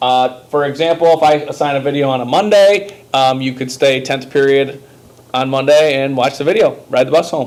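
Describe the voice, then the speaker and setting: Ordinary pitch variation amid noticeable background noise. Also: man, fairly high pitch for a man. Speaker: sixth grade math teacher. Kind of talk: tutorial. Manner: fast; casual, hesitant with many ums.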